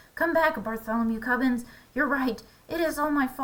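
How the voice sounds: A woman uses a high-pitched, put-on character voice. She talks at a fairly quick pace with ordinary pitch variation.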